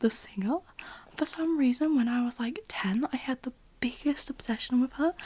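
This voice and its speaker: Soft-spoken, a woman talks at a fairly slow pace. Her pitch is high, with ordinary pitch variation. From British. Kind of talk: ASMR Q&A, casual rambling.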